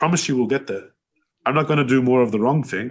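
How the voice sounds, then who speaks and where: A man in an Australian accent talks at a very fast pace. His pitch is medium, and the background is quiet. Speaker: business owner. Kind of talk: podcast interview. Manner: loud; animated.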